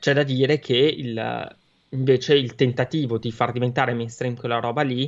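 A man's medium-pitched voice, a plain, everyday voice, moves at a moderate pace with fairly even intonation. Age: 30s. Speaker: gaming streamer. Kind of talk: casual chat.

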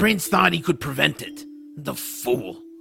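A man puts on a character voice at a moderate pace. Clear background noise runs underneath. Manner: bitter, grumpy.

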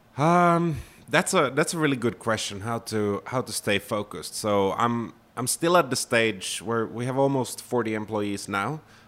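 Over a silent background in a very clean recording, a man speaks at a medium pitch and a moderate pace with lively intonation. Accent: Finnish. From Finland. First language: Finnish. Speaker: startup founder and CEO. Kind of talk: interview. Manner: halting, many fillers.

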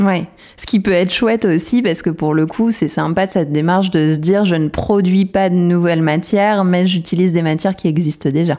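At a fairly quick pace, a woman speaks with a fairly low pitch, a dark, mellow tone and fairly even intonation. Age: 30s. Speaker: podcast host. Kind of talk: casual interview chat.

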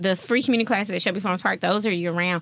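A Southern US accent with fairly even intonation. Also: woman. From Jackson, Mississippi. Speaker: leadership programs manager. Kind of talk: casual interview chat.

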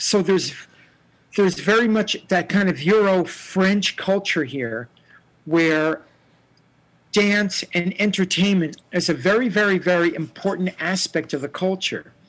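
A man with an American accent speaks at a fairly slow pace in a high voice with ordinary pitch variation, on a very clean recording with a silent background. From New Jersey. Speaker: stop motion animator. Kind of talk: casual chat.

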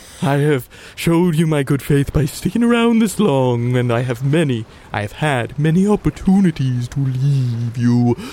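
Doing a put-on character voice, a man speaks at a fairly high pitch. Clear background noise runs underneath. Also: moderate pace. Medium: actual play. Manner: aloof, superior.

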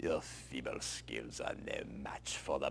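A man speaks in a put-on character voice at a fairly slow pace. Background noise is clearly audible. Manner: menacing, scornful.

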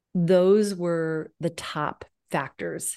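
Against a quiet background, a woman speaks with a fairly low pitch. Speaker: online fitness instructor. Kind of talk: casual interview.

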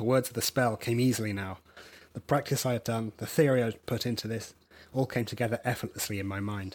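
Very fast speech from a man at a medium pitch. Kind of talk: reading aloud a dramatic fantasy story, like a live storytelling performance. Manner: animated and dramatic, with laughter breaking through the narration.

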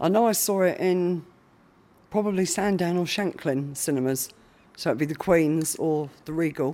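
A woman speaks with a southern English accent at a moderate pace. Her pitch is very deep and low, with ordinary variation. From Isle of Wight, southern England. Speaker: hospital patient. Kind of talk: recorded interview. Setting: hospital ward.

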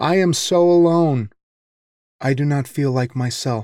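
At a fairly slow pace, a man with a fairly high voice speaks with ordinary pitch variation, the sound dry and close with no echo. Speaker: podcast host reading a guest's poems. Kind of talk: poem performed, read aloud in a solemn, measured voice.

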